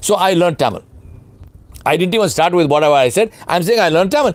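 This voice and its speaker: In a Pakistani accent, a man speaks with lively intonation. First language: Urdu. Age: 60s. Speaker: leadership speaker and consultant. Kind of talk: webinar Q&A lecture. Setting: online webinar. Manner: emphatic.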